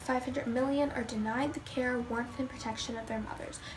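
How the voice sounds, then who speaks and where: A woman with a high pitch and fairly even intonation speaks over noticeable background noise. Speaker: vegan vlogger. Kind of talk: casual talk to camera. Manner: stuttering, hesitant with many fillers.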